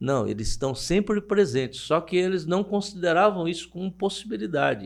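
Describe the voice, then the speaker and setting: At a moderate pace, a man with a high pitch talks using lively intonation. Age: 70s. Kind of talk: interview. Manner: halting.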